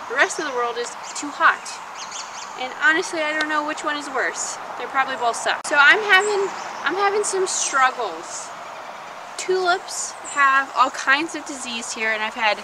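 A woman with a high pitch speaks at a moderate pace, with long, frequent pauses. Her loudness swings widely, and there is noticeable background noise. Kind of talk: casual vlog chat. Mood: disappointed, resigned.

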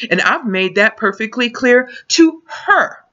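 Fairly slow speech from a woman, quiet surroundings behind her. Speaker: vlogger. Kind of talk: casual vlog chat. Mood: exasperated, venting. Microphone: webcam.

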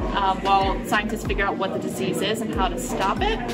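A woman speaks with clear music in the background. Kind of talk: interview answer. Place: hall. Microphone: phone near.

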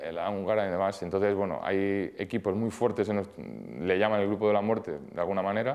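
The speaker is a man with a fairly low pitch. He talks at a moderate pace. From Spain. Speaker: handball goalkeeper. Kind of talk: interview; interview answer. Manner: hesitant, many fillers. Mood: calm, reflective. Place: studio. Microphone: lapel.

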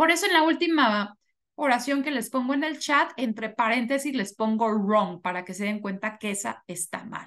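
A woman with an unremarkable speaking voice talks at a moderate pace, her pitch fairly high and her intonation lively. The background is quiet. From Mexico, Toluca; Mexico. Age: 30s. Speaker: English teacher. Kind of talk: online class lesson, bilingual English/Spanish. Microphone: video call.

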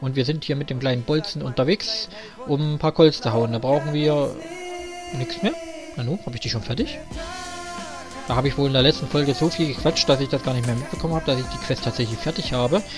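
A man with a fairly high pitch talks at a very fast pace, using ordinary pitch variation. He takes long, frequent pauses, with music in the background. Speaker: let's player. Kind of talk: gameplay commentary. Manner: hesitant, many filler sounds.

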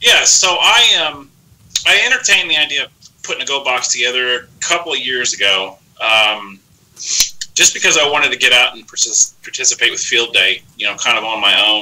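Lively intonation marks this man's American accent. He keeps a moderate pace, with big swings in loudness. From US Midwest. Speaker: ham radio operator. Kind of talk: casual interview. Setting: garage. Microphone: webcam.

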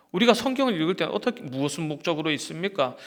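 A man speaks at a fairly high pitch with vocal fry and very wide pitch swings. The recording is very clean, with a silent background. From rural South Korea. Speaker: pastor. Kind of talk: sermon.

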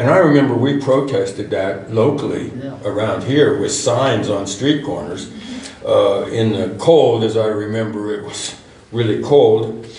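Fairly slow delivery with ordinary pitch variation and audible room echo. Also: man. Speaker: teacher at a congregation. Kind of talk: sermon. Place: church. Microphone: camera far.

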